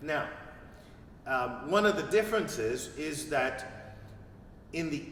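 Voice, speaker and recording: A man's fairly high voice with very wide pitch swings, a very slow pace, long and frequent pauses, and audible room echo. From Quebec, Montreal. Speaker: priest. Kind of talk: interview. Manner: halting.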